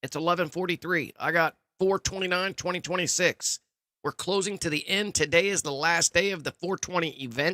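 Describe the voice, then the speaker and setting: Loud and energetic, a man speaks at a fairly quick pace and a high pitch, recorded dry and close with no echo. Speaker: gaming live streamer. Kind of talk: live gameplay stream chat. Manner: casual, energetic.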